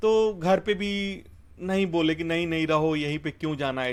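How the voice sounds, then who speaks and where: This man has a Bihari accent. His pitch is fairly high. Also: very clean recording, silent background. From India, Bhojpuri-speaking village (Bihar/eastern UP). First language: Bhojpuri (speaking Hindi). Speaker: software engineer. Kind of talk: interview, life story.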